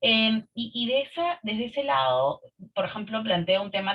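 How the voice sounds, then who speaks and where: The voice belongs to a woman. It leaps between high and low notes across a very broad range. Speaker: participant in leadership webinar. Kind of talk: online group discussion. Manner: fast.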